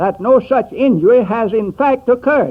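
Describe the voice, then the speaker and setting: Speaking with an American accent, this voice keeps a moderate pace. Its intonation is lively. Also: man. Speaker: secretary of state. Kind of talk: formal political address, radio speech. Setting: old archival radio recording.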